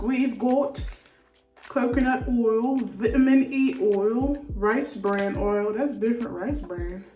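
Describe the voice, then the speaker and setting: Over music in the background and with audible room echo, a woman talks at a very slow pace in a high pitch with ordinary pitch variation. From Haiti. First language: Haitian Creole or French. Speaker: beauty vlogger. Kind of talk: casual chat. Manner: animated.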